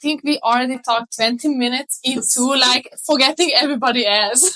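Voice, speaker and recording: A strong Hungarian accent comes through a raised, projected voice with a bright, sharp tone. The pace is fairly quick, and the sound is dry and close with no echo. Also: woman. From Hungary. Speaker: marketing entrepreneur. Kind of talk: interview. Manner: energetic.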